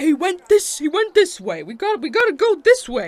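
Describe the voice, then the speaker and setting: An extremely high, put-on character voice at a fairly slow pace. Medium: actual play. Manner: eager, complaining.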